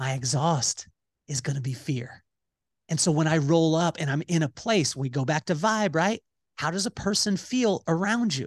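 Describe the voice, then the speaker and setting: Over a quiet background, a man with a fairly high pitch speaks at a moderate pace in an animated tone with lively intonation, the sound dry and close with no echo. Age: 40s. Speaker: entrepreneur and podcast host. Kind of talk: casual interview.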